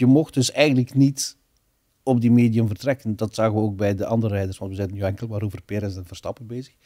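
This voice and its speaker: Over a quiet background, a man talks at a very fast pace with a fairly low pitch and fairly even intonation. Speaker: guest. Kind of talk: interview answer. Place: studio. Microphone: studio mic.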